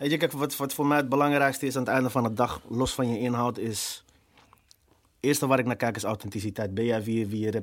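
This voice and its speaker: In a very clean recording with a silent background, a man talks at a very fast pace with fairly even intonation and a medium pitch. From Amsterdam, Netherlands (Amsterdam-Noord). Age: 30s. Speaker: rapper. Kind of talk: casual chat. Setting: studio.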